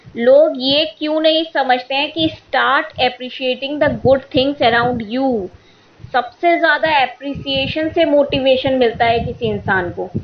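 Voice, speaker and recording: High-pitched female voice, its pitch varying in an ordinary way. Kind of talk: podcast monologue. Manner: opinionated, irritated.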